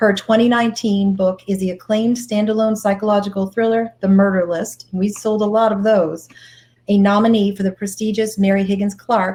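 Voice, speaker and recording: Somewhat breathy and at a fairly quick pace, a woman with a Boston accent speaks at a medium pitch with fairly even intonation. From Boston area. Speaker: bookstore host. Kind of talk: author interview.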